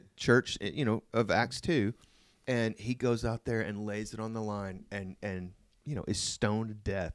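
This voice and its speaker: A man with an American accent and a normal speaking voice talks at a moderate pace and a medium pitch. The recording is very clean with a silent background, and the sound is dry and close with no echo. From Oklahoma, US. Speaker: pastor. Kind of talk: casual conversational sermon recap.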